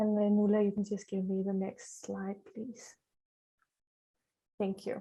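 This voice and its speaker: A woman's dark, mellow tone at a fairly high pitch. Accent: Danish. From Denmark. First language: Danish. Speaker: charity trustee, parent of a child with a rare syndrome. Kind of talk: conference introduction. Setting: virtual conference, video call. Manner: hesitant, many fillers.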